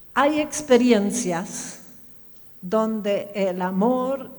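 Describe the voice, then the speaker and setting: The speaker has a German accent and ordinary pitch variation. Some room echo is audible. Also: woman. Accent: German-tinged Spanish, lasting. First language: German (speaking Spanish). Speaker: pastor. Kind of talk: sermon. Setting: church. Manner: conversational, asks audience questions.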